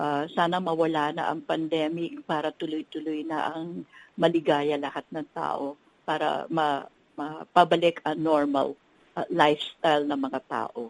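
Recorded dry and close with no echo, a woman with a very deep, low pitch talks at a fairly slow pace with fairly even intonation. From Philippines. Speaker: hotel executive. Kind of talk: interview.

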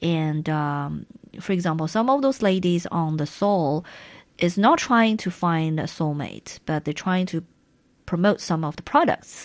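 Over a quiet background, a woman with a fairly low pitch speaks fairly slowly with lively intonation. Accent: Chinese. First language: Chinese. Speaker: radio co-host. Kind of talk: casual chat. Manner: halting.

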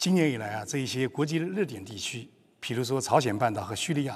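Here a man talks at a moderate pace and medium pitch. His intonation is lively. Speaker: media executive interviewer. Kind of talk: formal interview in Chinese.

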